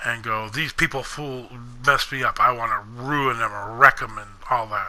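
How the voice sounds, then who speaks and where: A man's medium-pitched voice at a moderate pace, fairly even in intonation, with big loudness swings and noticeable background noise. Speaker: gaming youtuber. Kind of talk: personal monologue video. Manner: monotone.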